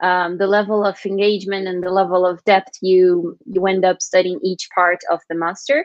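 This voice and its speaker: This woman's voice has a medium pitch. She speaks with a Portuguese accent. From Brazil. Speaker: master's student. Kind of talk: casual chat.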